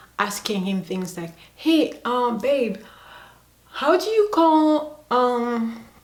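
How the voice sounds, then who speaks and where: There is noticeable background noise. Through it, a woman speaks with lively intonation. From Democratic Republic of the Congo. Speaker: YouTuber. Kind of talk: vlog.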